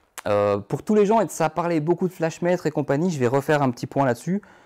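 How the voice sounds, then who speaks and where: Against a quiet background, a man with a north-eastern French accent speaks fairly quickly in a dark, mellow tone with lively intonation. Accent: Moselle (north-eastern French). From Moselle, north-eastern France. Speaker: photographer; photographer teacher. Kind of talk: live workshop tutorial. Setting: photo studio. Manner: hesitant, many fillers. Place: studio.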